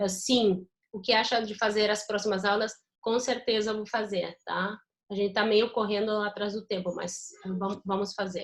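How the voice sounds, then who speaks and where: A woman's medium-pitched voice holds a monotone, flat intonation while she talks at a moderate pace. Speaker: university lecturer. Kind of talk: lecture. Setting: video call.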